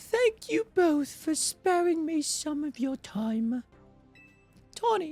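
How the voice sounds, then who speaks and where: A high-pitched, put-on character voice at a very slow pace, with faint music in the background. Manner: formal, dignified.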